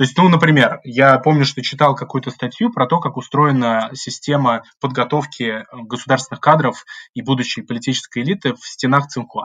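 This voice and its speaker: A man with a normal speaking voice talks at a moderate pace. His pitch is medium and his intonation fairly even. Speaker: graduate student, political scientist. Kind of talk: podcast interview.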